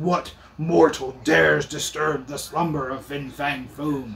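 A man performs a put-on character voice. He talks at a fairly slow pace. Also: fairly high pitch for a man. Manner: booming, imperious.

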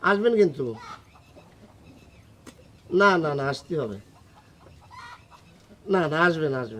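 A man speaks slowly in a put-on character voice with a fairly high pitch. His tone is bright and sharp, and his pitch swings widely.

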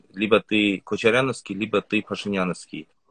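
Using an unremarkable speaking voice, a man with a fairly low pitch talks at a fairly quick pace. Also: quiet background, dry sound with no echo. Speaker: Instagram blogger. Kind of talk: livestream interview. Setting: video call. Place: home room. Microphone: video call.

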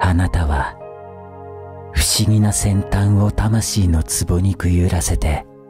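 Very slow speech with long, frequent pauses, dry with no echo, over clear background music. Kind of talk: poetry reading, ASMR.

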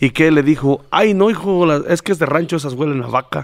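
Moderate pace and ordinary pitch variation from a man, a quiet background behind him. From rural central Mexico. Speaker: podcast host. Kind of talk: casual interview. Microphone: studio mic.

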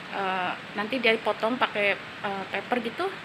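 Ordinary pitch variation from a woman, set against noticeable background noise. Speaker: vlogger. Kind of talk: casual vlog chat. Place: street. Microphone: phone near.

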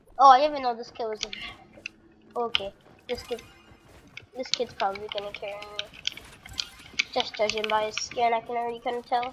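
Music plays in the background as a woman speaks at a fairly quick pace with a fairly high pitch. Her loudness swings widely, and she leaves long, frequent pauses. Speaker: gaming streamer. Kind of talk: gameplay commentary. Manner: animated.

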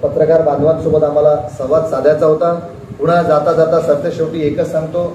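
A man speaks at a high pitch. Audible room echo and light background noise surround his voice. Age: 40s. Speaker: local politician. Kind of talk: press conference statement. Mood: firm, warning tone. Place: home room. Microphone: lapel.

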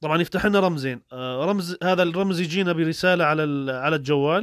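A man with a Syrian accent speaks at a moderate pace in a high pitch. The recording is very clean with a silent background and a dry, close sound with no echo. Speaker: YouTuber giving advice to refugees. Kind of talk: tutorial. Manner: casual, conversational.

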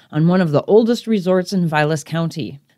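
With a plain, everyday voice, a woman talks at a moderate pace with lively intonation, in a dry, close sound with no echo. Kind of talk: documentary introduction narration.

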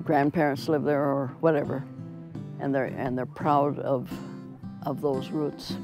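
A woman's very deep, low voice with an Upper Midwest accent, fairly even intonation and long, frequent pauses, dry with no echo, clear music in the background. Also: fairly slow pace. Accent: Upper Midwest American. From Minnesota, USA. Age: 80s+. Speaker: painter. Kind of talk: interview answer. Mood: warm, cheerful. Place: home room.

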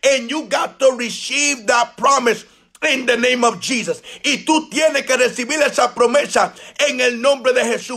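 Over background music, a man speaks in an extremely high pitch with an animated tone, his voice raised and projected at a fairly slow pace. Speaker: evangelist preacher. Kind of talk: fervent bilingual prayer declaration. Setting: live Facebook video stream. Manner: animated, fervent, declaring; bilingual, repeating each line in English then Spanish. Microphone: phone near.

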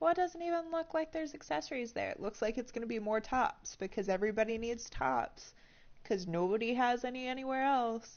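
Speaking at a fairly quick pace, a woman uses lively intonation in a high pitch. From Tennessee. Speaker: gaming live streamer. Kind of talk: casual gameplay commentary.

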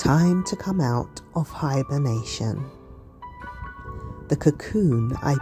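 Over music in the background, a woman talks at a very slow pace. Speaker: poet. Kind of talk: poetry reading.

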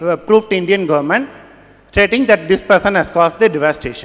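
This man has a high voice. His intonation is lively. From India. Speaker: audience member, software engineer; audience member. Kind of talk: audience question. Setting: stage with audience. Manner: halting. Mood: earnest, questioning. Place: hall. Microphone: handheld.

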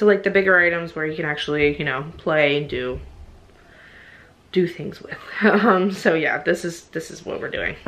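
A woman at a moderate pace, low in pitch, with a fairly bright tone and ordinary pitch variation

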